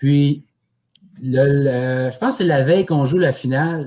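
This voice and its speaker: A man speaks very slowly in a fairly high voice. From Quebec, Abitibi (Amos). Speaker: curling champion. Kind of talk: podcast interview.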